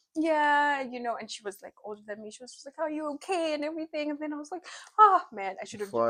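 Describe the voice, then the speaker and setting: A woman speaks very fast in a raised, projected voice with big swings in loudness. Her high pitch has lively intonation and a bright, sharp tone. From Zimbabwe. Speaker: podcast host, university student. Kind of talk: casual chat.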